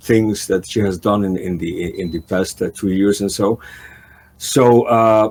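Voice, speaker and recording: A man speaks slowly-ish, at a fairly slow pace, with a non-native accent. His voice is fairly low with fairly even intonation. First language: not English. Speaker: talk show host. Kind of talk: interview. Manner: halting, many fillers.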